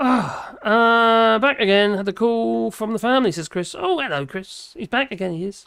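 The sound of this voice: This voice has a clear, smooth, fairly bright tone with vocal fry, ordinary pitch variation and a moderate pace.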